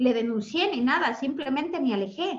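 A woman's high voice with lively intonation. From Ecuador. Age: 40s. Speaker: self-esteem mentor. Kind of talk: interview testimony.

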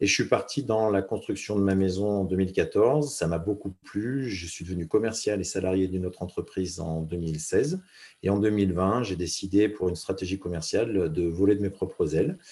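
On a very clean recording with a silent background, a man with a dark, mellow tone and fairly low pitch speaks at a moderate pace, somewhat breathy, with ordinary pitch variation. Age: 40s. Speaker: former mountain rescuer, business speaker. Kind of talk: casual interview. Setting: podcast interview. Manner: halting, repeats words.

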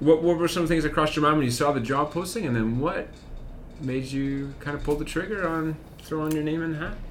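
Fairly quick speech with a Canadian Prairies accent, plus audible room echo and noticeable background noise. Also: man. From Saskatchewan, Moose Jaw. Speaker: school podcast host, teacher. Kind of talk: casual interview chat.

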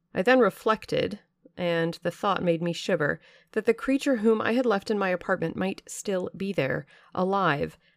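A woman in a normal speaking voice, medium in pitch with ordinary pitch variation, at a moderate pace on a very clean recording with a silent background. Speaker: audiobook narrator podcaster. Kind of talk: dramatic first-person reading aloud of a gothic novel, in the voice of the narrator.

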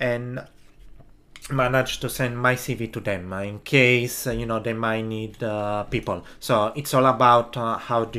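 In an Italian accent, a man speaks at a medium pitch with a bright, sharp tone. His intonation stays monotone and flat. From Italy. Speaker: podcast host, film production worker. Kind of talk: solo podcast monologue. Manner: halting, many fillers.

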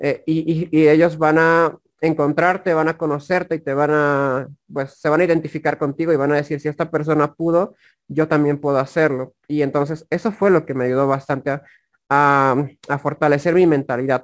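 At a moderate pace, a man with a fairly high pitch speaks in a monotone, flat intonation. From Bolivia, La Paz. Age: 20s. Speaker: affiliate marketer and YouTuber. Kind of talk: interview conversation.

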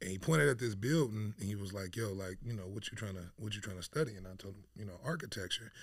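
Speaking very fast with an American accent, a man has a fairly low, somewhat breathy voice and ordinary pitch variation. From Dayton, Ohio (born San Diego, left at 13). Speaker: painter. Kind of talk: casual interview chat. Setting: studio.

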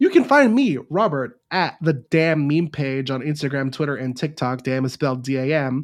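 This is a man speaking. His pitch is fairly high. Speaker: podcast host. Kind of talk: casual chat. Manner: fast.

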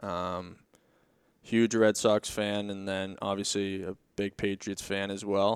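A man with an American accent speaks at a very slow pace in a monotone, flat intonation. The sound is dry and close with no echo, on a very clean recording with a silent background. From Boston, Massachusetts. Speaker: professional hockey player. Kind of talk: casual interview.

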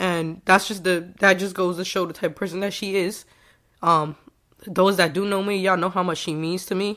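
Speaking at a moderate pace with an American accent, a woman keeps a medium pitch and a monotone, flat intonation. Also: very clean recording, silent background. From New York. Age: 20s. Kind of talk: casual chat.

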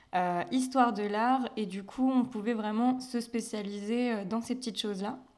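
Fairly slow and fairly even in intonation, a woman with an unremarkable speaking voice talks at a fairly high pitch. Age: 20s. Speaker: sales adviser and graphic designer. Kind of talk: casual interview.

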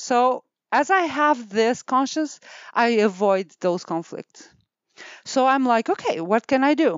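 Speaking fairly slowly, a woman uses a high pitch with very wide pitch swings while her loudness stays very even. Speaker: clinic owner, osteopathic practitioner. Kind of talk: interview. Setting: office studio with headset.

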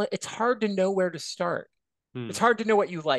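Recorded with a dry, close sound, no echo, and a quiet background, a man with an American accent speaks with lively intonation. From Michigan, near Chicago. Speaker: college professor and author. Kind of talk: casual interview chat.

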